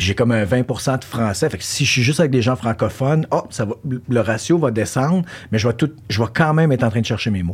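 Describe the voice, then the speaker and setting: Somewhat breathy and medium in pitch, a man speaks at a fairly quick pace with lively intonation. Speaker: podcast host. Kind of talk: casual interview chat. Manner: code-switching French and English.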